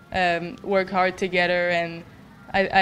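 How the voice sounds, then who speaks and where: Audible room echo surrounds a woman with a French Canadian accent. Her intonation stays monotone and flat. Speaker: college hockey goalie. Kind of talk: press conference. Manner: halting.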